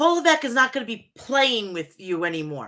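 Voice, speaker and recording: Animated and bright with a sharp tone, a woman's fairly high voice comes through. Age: 40s. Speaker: wrestling show reviewer. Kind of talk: casual review monologue. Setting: home, seated.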